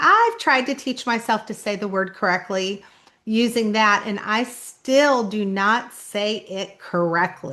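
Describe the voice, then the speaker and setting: A woman's bright, sharp tone at a fairly high pitch, very slow in pace, with ordinary pitch variation and a slight southern Kentucky accent. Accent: slight southern Kentucky-style twang. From Indianapolis, Indiana, US Midwest. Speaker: author. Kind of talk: casual vlog talk.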